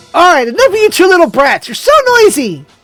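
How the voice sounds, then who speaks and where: With music in the background, a put-on character voice at an extremely high pitch races along at a very fast pace with very wide pitch swings. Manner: scolding, exasperated.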